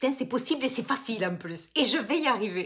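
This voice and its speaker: This woman talks at a fairly quick pace with a southern French accent. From southern France, Toulouse. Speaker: business coach. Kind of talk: live webinar masterclass. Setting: online live stream. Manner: casual, many fillers and repetitions.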